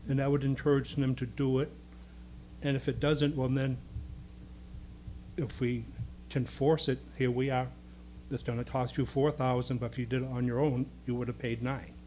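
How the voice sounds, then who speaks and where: Somewhat breathy with a dark, mellow tone, a man at a medium pitch speaks at a moderate pace in a monotone, flat intonation, with long, frequent pauses. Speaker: resident speaking at public comment. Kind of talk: public comment at town board meeting. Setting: town board meeting, speaking at a microphone.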